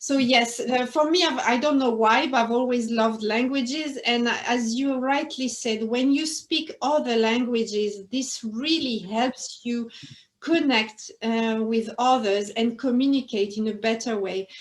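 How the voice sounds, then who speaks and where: French accent at a fairly slow pace, with ordinary pitch variation. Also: woman, high pitch for a woman, hardly any pauses. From northern France. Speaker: interview guest, former quality manager. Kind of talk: interview.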